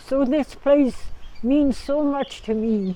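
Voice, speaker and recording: Speaking very slowly in a Canadian Prairie accent, a woman has a dark, mellow tone. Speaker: Métis elder. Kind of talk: oral history storytelling. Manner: reflective, conversational.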